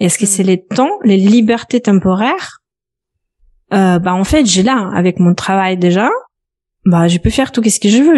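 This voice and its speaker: A woman with a slight Belarusian accent and a medium pitch speaks at a fairly slow pace, her intonation lively and her loudness very even. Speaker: personal finance coach. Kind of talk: podcast interview. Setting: at home office.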